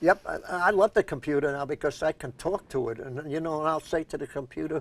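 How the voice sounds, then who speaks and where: In a New York accent, a man with a fairly high pitch talks at a fairly quick pace, the sound dry and close with no echo. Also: ordinary pitch variation. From New York, Brooklyn. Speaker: community TV talk show host. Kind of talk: casual interview chat; show sign-off.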